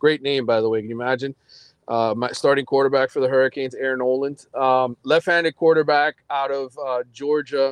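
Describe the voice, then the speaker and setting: A man speaks at a fairly quick pace with fairly even intonation in a medium-pitched voice, a plain, everyday voice. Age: 40s. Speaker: sports journalist covering college football. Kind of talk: casual chat.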